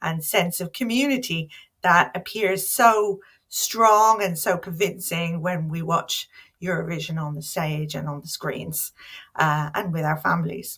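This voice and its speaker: A woman with an Irish accent speaks in a fairly low pitch with ordinary pitch variation. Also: very clean recording, silent background. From Ireland. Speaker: academic. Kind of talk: conference talk. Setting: home office.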